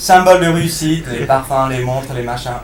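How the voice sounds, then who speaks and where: Over noticeable background noise and audible room echo, a man speaks at a moderate pace in a medium pitch. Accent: American. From United States. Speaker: comedian. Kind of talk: stand-up. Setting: stage with audience. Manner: halting.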